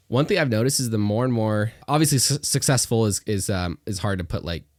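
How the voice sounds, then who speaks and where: With an American accent, a man talks at a fairly quick pace in an unremarkable speaking voice, his fairly low pitch carrying lively intonation. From Northwest Arkansas, US South. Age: young, 19. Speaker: young entrepreneur and realtor. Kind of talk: casual podcast interview.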